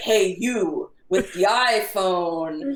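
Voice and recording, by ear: A booming, put-on character voice sits at a fairly high pitch. There is a slight echo.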